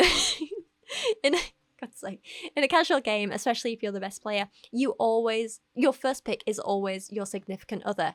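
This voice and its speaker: A plain, everyday voice speaks at a moderate pace in a dry, close sound with no echo. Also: woman. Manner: casual, rambling, self-deprecating.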